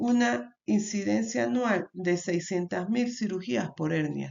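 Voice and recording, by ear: A woman speaks at a moderate pace in a medium pitch, her slightly mellow tone carrying vocal fry and ordinary pitch variation.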